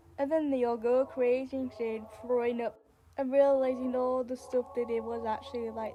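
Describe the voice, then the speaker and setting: With noticeable background noise behind her, a woman with a fairly high pitch speaks at a moderate pace and fairly even intonation. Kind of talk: creepypasta story narration. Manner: casual, halting.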